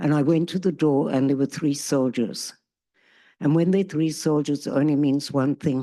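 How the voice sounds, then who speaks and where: A woman with a South African accent, a dark, mellow tone, very deep, low pitch and fairly even intonation against a quiet background. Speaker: peace activist, bereaved parent. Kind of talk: testimony. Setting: stage with audience.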